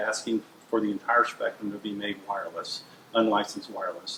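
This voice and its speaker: A man speaks against noticeable background noise. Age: 60s. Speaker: transportation engineering consultant. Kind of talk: interview. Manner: hesitant, many fillers.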